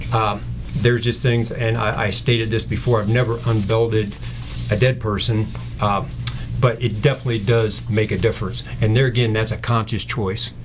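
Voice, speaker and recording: A man's medium-pitched voice with fairly even intonation, amid noticeable background noise and audible room echo. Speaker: state trooper. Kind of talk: radio interview.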